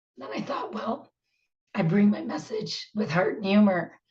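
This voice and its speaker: Using a put-on character voice, a woman speaks at a medium pitch and a moderate pace, sounding raspy, with big swings in loudness. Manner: humorous, self-mocking.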